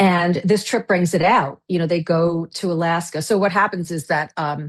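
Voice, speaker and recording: A plain, everyday voice from a woman, fairly low in pitch, with fairly even intonation at a moderate pace over a quiet background. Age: 60s. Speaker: novelist. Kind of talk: interview.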